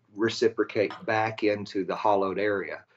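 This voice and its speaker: A man talks with a West Texas accent at a fairly low pitch. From West Texas, near Abilene. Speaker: inventor and business owner, Air Force veteran. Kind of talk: radio interview. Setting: remote call.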